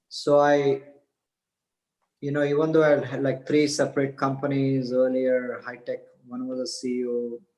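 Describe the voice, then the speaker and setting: The voice has a dark, mellow tone and an Indian accent. It moves at a moderate pace in a monotone, flat intonation, with long, frequent pauses. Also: man. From India, Mumbai. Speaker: spiritual teacher and businessman. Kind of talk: podcast interview, personal story.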